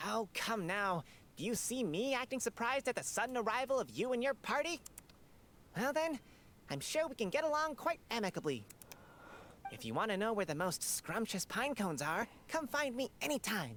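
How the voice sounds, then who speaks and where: Someone uses a put-on character voice, fairly high in pitch, at a moderate pace with long, frequent pauses. Background noise is clearly audible. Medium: video game. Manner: chatty, friendly.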